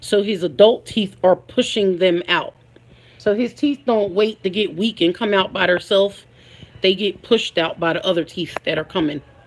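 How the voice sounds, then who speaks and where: Delivered at a moderate pace, the speech has an American accent and ordinary pitch variation. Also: woman, medium pitch for a woman. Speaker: family vlogger. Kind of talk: casual livestream chat. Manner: halting with fillers.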